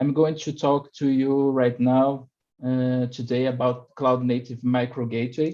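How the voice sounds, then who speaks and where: Very slow speech from a man with a dark, mellow tone against a quiet background. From Brazil. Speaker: platform engineer. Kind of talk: technical presentation. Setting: video call. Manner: halting, many fillers.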